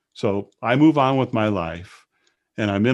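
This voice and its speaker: Against a quiet background, a man with an American accent uses a normal speaking voice, fairly low in pitch with ordinary pitch variation, at a moderate pace. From Wisconsin, US Midwest. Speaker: state agency director. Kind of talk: interview.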